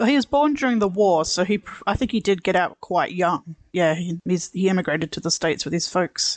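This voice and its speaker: The speaker goes at a fairly quick pace with an Australian accent and hardly any pauses. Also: quiet background. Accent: mild Australian, once taken for Scottish. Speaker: podcast co-host. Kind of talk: casual chat.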